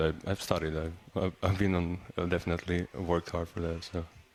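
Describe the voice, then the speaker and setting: The speaker talks at a fairly quick pace in a Serbian accent. The intonation stays fairly even. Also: man. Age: young. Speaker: college basketball player. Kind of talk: radio interview. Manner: halting.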